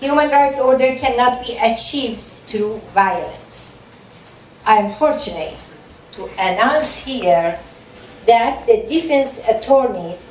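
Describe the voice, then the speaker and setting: Against noticeable background noise, a woman with a high pitch speaks very slowly with lively intonation, big swings in loudness, and long, frequent pauses. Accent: Iranian. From southern Iran. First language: Persian. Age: 60s. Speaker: human rights activist and lawyer. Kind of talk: award acceptance speech. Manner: soft-spoken.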